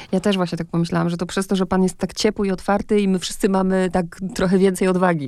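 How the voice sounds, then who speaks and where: Very fast, flat and monotone speech from a woman at medium pitch, with a dark, mellow tone and hardly any pauses. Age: 40s. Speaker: radio host. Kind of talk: interview. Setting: radio studio.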